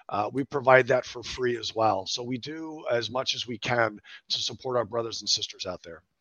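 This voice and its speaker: An unremarkable speaking voice from a man at medium pitch, with fairly even intonation, a moderate pace and big swings in loudness. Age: 50s. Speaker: veteran nonprofit CEO. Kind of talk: casual interview chat.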